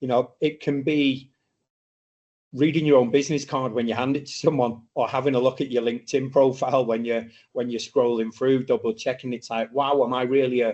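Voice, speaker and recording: This speaker has a British accent and talks at a fairly quick pace with fairly even intonation. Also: man, medium pitch for a man. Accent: British accent, noticeable. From UK. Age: 40s. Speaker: startup mentor and speaker. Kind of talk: masterclass lecture. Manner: casual, with frequent fillers.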